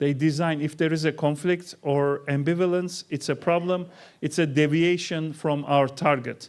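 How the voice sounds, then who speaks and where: Speaking at a moderate pace, a man with a Turkish accent has a fairly high pitch. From Turkey. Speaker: keynote speaker, researcher. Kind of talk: keynote lecture. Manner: animated.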